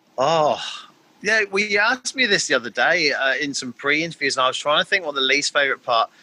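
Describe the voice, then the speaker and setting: A man's fairly high voice at a very fast pace, with very wide pitch swings, in a dry, close sound with no echo over noticeable background noise. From England. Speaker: math teacher. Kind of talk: casual interview. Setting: video call.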